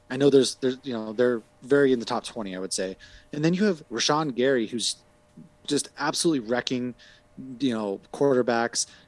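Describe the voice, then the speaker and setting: Over music in the background, a man with an American accent speaks at a fairly quick pace, medium pitch and ordinary pitch variation. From Massachusetts. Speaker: podcaster, sports talk guest. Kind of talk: casual sports chat.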